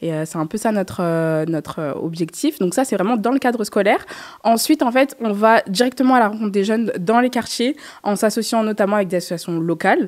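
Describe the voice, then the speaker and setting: Over a quiet background, a woman speaks at a fairly quick pace with lively intonation. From France, Paris suburbs (Seine-Saint-Denis); Paris. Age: 20s. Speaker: association co-founder and journalist; journalist. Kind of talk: interview. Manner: hesitant, many fillers. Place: studio. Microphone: studio mic.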